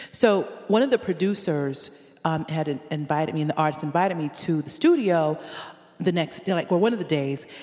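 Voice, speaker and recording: With an American accent and a plain, everyday voice, a woman talks at a fairly quick pace, fairly low in pitch with ordinary pitch variation. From Connecticut, US; Jamaican family. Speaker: reggae artist and educator. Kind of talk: casual interview chat.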